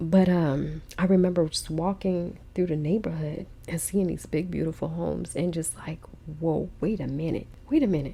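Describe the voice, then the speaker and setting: With an American accent, the speaker sounds shaky and animated, using vocal fry at a moderate pace. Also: woman, fairly low pitch for a woman. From Los Angeles, US West Coast. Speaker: podcast host, single mom. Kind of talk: personal testimony. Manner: animated, casual; emotional, shaky.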